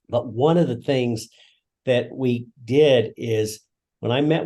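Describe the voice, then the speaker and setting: With an American accent, a man speaks in a dark, mellow tone with ordinary pitch variation against a quiet background. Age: 60s. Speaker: retired school principal. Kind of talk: interview testimony. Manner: halting, many fillers.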